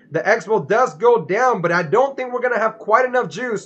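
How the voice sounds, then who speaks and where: Noticeable background noise fills the recording. Through it, a man speaks fairly quickly. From Dominican Republic. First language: Spanish. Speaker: gaming streamer. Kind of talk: live gameplay commentary. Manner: casual, filler-heavy.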